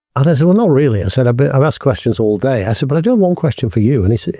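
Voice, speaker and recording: A man with a British accent speaks in a dark, mellow, somewhat breathy tone with lively intonation. The recording is very clean, with a silent background and a dry, close sound with no echo. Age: 60s. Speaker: business executive. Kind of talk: interview. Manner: halting.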